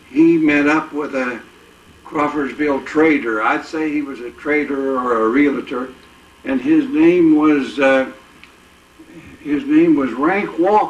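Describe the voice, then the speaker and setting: A man with an American accent speaks at a very slow pace, leaving long, frequent pauses and keeping his intonation fairly even. Audible room echo and noticeable background noise fill the recording. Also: fairly high pitch for a man. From Indiana. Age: 80s+. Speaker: war veteran and car dealer. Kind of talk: oral history interview. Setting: at his home, filmed. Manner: halting, many filler words.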